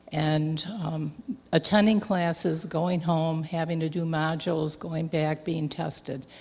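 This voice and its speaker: This woman has a plain, everyday voice. She speaks at a fairly slow pace and a fairly low pitch. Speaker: missionary. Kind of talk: missionary report to a congregation. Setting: church.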